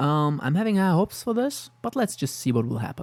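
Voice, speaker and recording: With a non-native accent, the voice moves at a fairly quick pace. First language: not English. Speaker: anime youtuber. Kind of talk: casual commentary with read-out synopses. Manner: halting.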